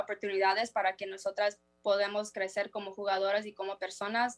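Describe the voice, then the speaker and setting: Medium pitch from a woman at a moderate pace, in a dry, close sound with no echo. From United States. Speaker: professional footballer. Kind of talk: interview. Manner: halting.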